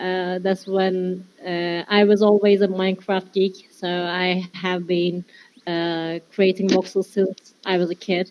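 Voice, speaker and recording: At a very slow pace, a woman with a Turkish accent speaks at a medium pitch in monotone, flat intonation. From Turkey. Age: 20s. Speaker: metaverse designer. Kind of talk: presentation. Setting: virtual world meetup. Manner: halting.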